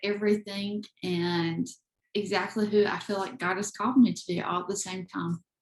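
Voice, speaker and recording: Fairly even intonation in a Southern US accent at a moderate pace. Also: woman. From US South, eastern North Carolina. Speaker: photographer and creator, adoptee. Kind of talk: interview.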